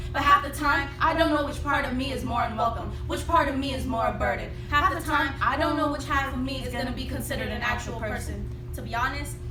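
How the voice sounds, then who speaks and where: A woman speaks very fast while music plays behind her. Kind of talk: slam poetry performance.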